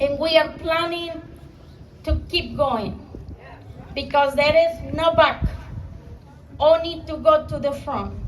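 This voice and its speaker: A woman with a Mexican accent speaks at a very slow pace, her high voice flat and monotone throughout. Long pauses come often, and there is noticeable background noise along with audible room echo. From Mexico. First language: Spanish. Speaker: small business owner, immigrant. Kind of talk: rally speech.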